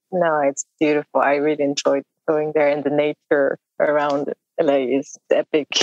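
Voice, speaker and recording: A woman's very deep, low voice with a French accent, monotone and flat, at a moderate pace, very even in loudness, with a dry, close sound and no echo. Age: 30s. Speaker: indie musician. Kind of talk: casual interview chat. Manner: halting, searching for words.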